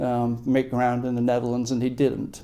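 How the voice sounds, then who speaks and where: A man with an American accent speaks at a moderate pace. His tone is dark and mellow, with audible room echo. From UK. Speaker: investment strategist. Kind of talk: conference talk. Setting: event at a country club, live audience.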